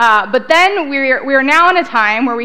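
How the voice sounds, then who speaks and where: Moving at a fairly quick pace, a woman speaks. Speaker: conference speaker. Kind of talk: lecture. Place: hall.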